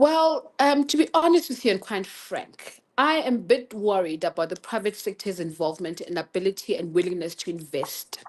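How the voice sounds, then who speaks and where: Her pitch swinging very widely around a medium level, a woman speaks at a moderate pace with hardly any pauses. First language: not English. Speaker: government official. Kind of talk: panel discussion.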